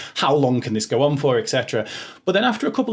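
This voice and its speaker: A man with a Liverpool accent at a very fast pace. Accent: Liverpool (Scouse). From Liverpool, England. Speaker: podcast host. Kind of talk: casual interview chat. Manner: halting, many fillers.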